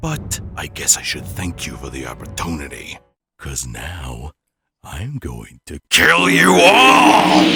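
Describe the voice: This is a raspy, put-on character voice. It goes at a fairly slow pace. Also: man, very deep, low pitch for a man.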